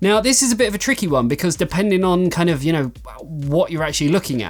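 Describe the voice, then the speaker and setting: Lively intonation marks this man's speech in an English accent. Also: very clean recording, silent background. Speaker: tech reviewer and website owner. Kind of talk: Q&A vlog. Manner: casual, filler-heavy.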